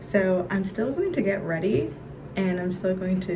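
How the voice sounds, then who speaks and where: A woman speaks at a fairly low pitch over noticeable background noise. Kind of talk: casual talk to camera.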